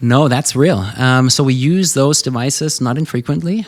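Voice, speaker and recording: This is a man's voice. He speaks with a German accent. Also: very clean recording, silent background. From Germany. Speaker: ENT surgeon. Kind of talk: interview answer. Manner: energetic.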